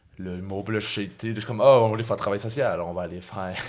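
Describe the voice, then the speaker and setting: A man speaks with a Quebec accent. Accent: Québécois French. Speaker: comedian. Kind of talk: casual chat. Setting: studio. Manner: halting.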